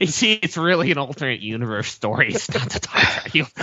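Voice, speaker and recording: A man's put-on character voice, nasal and fairly high, with very wide pitch swings and a fairly quick pace. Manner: pedantic, clarifying.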